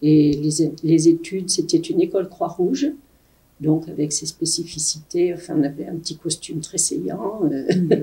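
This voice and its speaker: The voice has a dark, mellow tone and is somewhat breathy, with big swings in loudness. The pace is fairly slow and the intonation fairly even. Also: woman, fairly low pitch for a woman. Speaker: retired nurse. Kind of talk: interview testimony.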